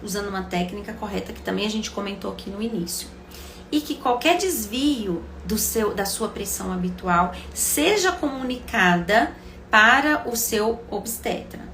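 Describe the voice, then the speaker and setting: A woman talks at a fairly slow pace. Room echo is audible, and background noise is noticeable. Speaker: obstetrician-gynecologist. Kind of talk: live stream Q&A health talk. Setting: live stream.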